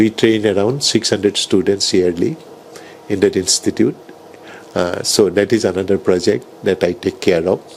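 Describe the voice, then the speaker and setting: A man speaks with ordinary pitch variation and long, frequent pauses. Noticeable background noise runs underneath. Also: fairly low pitch for a man, moderate pace. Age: 70s. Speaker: neurologist and hospital founder. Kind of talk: interview.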